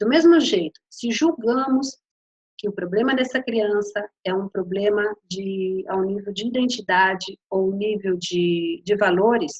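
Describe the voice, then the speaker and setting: A woman speaks fairly slowly with a slight Spanish accent. Her pitch is medium, with ordinary variation. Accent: Spanish-tinged Portuguese. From Brazil. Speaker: coach and lecturer. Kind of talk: lecture. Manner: hesitant, many fillers.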